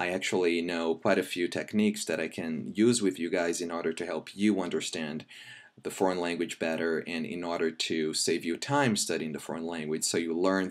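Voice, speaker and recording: Very deep, low male pitch at a moderate pace, with ordinary pitch variation. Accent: Brazilian. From Brazil. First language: Brazilian Portuguese. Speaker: language teacher. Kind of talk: tutorial; self-introduction pitch.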